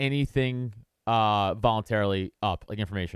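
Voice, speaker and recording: The voice comes with a New York accent, recorded dry and close with no echo and a very clean, silent background. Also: man. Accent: New York (Staten Island). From Staten Island, New York. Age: 30s. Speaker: podcast host and comedian. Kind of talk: casual chat. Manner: halting, many restarts.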